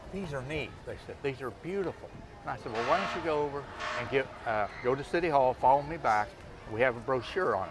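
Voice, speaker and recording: A man with an American accent talks at a very fast pace in a fairly high voice, with noticeable background noise around him. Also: ordinary pitch variation. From US Midwest, Marshall, Illinois. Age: 60s. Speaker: small-town mayor. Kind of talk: interview.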